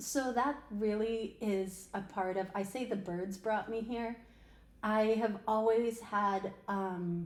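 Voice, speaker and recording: In an American accent, a woman with a fairly high pitch talks at a very slow pace, her intonation fairly even. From upstate New York, Albany area. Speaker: podcast co-host and recruiter. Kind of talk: casual podcast conversation.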